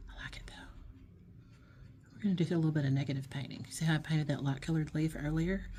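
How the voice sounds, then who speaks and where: A woman speaks with a very deep, low pitch, a dark, mellow tone and a somewhat breathy quality. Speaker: art teacher. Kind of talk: tutorial. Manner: relaxed, hesitant with fillers; whispering at times.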